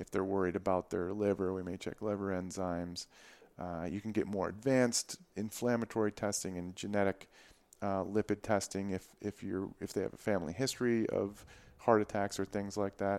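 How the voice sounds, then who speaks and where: In an American accent, a man talks at a fairly quick pace with a fairly low pitch and a normal speaking voice. The recording is very clean, with a silent background. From Michigan. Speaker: physician. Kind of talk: casual interview.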